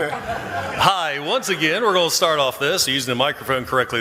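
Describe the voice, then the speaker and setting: A man speaks at a fairly quick pace. Noticeable background noise runs beneath him. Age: 50s. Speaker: YouTuber and military veteran. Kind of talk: panel discussion. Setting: convention stage with audience.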